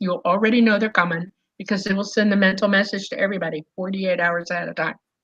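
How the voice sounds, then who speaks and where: Very fast, somewhat breathy speech from a woman. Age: 60s. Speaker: UFO contact experiencer. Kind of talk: interview. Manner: animated.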